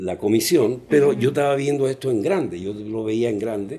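At a fairly slow pace, the speaker uses a normal speaking voice. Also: man. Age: 60s. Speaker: children's clown. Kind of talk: interview.

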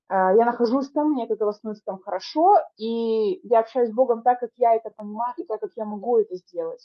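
An ordinary speaking voice at a fairly quick pace, with ordinary pitch variation and hardly any pauses. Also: woman, fairly high pitch for a woman. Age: 30s. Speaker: podcast co-host. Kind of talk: casual chat.

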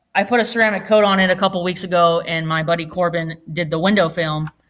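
It is a normal speaking voice. The pitch varies in an ordinary way. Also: woman. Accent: American. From Oregon. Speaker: auto detailing shop owner. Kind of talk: casual chat.

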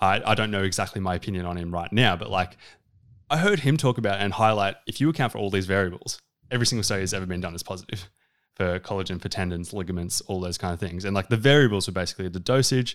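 Speaking at a very fast pace, a man with an Australian accent has a fairly low pitch and ordinary pitch variation, in a very clean recording with a silent background. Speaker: dietitian. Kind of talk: casual interview.

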